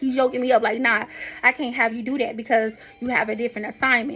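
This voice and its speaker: A woman speaks very fast in a high voice. Noticeable background noise runs underneath. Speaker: vlogger and author in the medical field. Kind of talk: casual spiritual monologue. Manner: animated.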